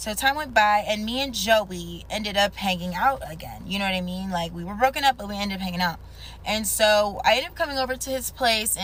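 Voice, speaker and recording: Using a put-on character voice, a woman talks at a fairly quick pace with a raspy, medium-pitched sound, ordinary pitch variation and big swings in loudness. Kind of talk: casual TikTok storytime. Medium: voice reel. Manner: chatty, casual, rambling with fillers.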